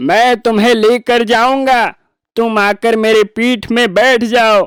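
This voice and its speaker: A cartoonish character voice at a fairly high pitch drawls along at a very slow pace. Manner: sly, falsely sweet.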